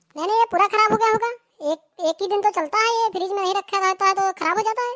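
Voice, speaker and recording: A woman talks in a cartoonish character voice, squeaky and extremely high-pitched. She speaks at a very fast pace. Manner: standard urban Hindi, bossy and impatient.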